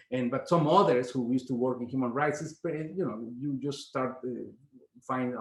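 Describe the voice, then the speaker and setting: Speaking at a fairly quick pace with a Spanish accent, a man uses ordinary pitch variation. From Mexico. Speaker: professor and activist. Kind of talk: interview. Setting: video call. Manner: halting, many repetitions.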